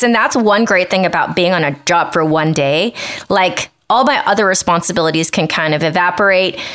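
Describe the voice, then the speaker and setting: A woman speaks at a very fast pace at a medium pitch, her loudness very even. Noticeable background noise sits behind her. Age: 40s. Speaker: podcast co-host and professional dancer. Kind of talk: casual chat.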